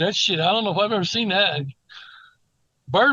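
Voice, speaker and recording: A man's raised, projected voice sounds bright and sharp at a high pitch. He moves at a fairly quick pace with ordinary pitch variation. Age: 60s. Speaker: basketball commentator. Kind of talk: casual chat. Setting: podcast. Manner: animated.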